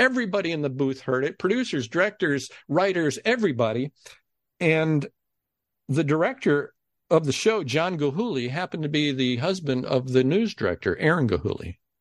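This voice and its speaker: A man with an American accent talks at a moderate pace in a fairly high voice, his pitch swinging very widely. The sound is dry and close with no echo, over a quiet background. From Ohio. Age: 60s. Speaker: game show announcer. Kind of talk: interview storytelling.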